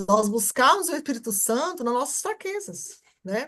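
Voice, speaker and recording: Speaking with very wide pitch swings, a woman's voice climbs and drops. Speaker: church class teacher. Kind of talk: teaching a welcome class. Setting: video call.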